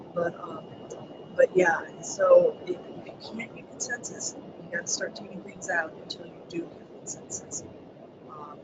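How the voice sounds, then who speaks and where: Over noticeable background noise, the speaker keeps a moderate pace. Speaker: education webinar presenter. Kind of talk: webinar presentation. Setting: online webinar. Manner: hesitant, many ums. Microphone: too quiet, listeners had trouble hearing.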